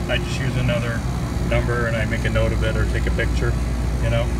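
Someone talks at a very fast pace through loud background noise. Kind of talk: tutorial. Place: workshop. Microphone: phone near.

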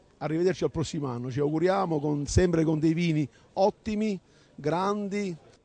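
A man speaks at a moderate pace in a fairly high pitch with ordinary pitch variation. His tone is dark and mellow, and the sound is dry with no echo. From Basilicata (Rapolla); Basilicata, Italy. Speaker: wine producer, architect; wine producer or journalist at an event. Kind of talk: interview. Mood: cheerful, toasting. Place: hall. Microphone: handheld.

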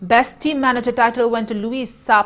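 A woman's fairly high voice at a moderate pace. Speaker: news anchor. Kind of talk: news reading, scripted bulletin. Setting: studio. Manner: formal, steady, even-paced newsreader delivery. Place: studio. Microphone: lapel.

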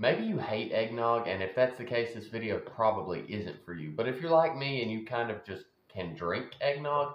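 A man with a Southern US accent, medium pitch and lively intonation at a moderate pace, with audible room echo. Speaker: home food vlogger. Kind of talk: casual talk to camera. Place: kitchen. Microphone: phone near.

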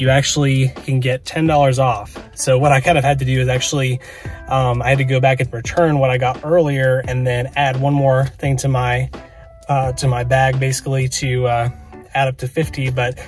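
Faint music plays in the background of a dry recording with no echo. A man talks at a moderate pace with monotone, flat intonation. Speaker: card collecting vlogger. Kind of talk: casual vlog chat. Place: car. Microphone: phone near.

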